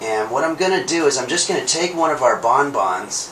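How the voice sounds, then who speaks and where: A man speaks at a moderate pace. The recording carries light background noise and audible room echo. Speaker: home cooking show host. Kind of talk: tutorial. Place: kitchen.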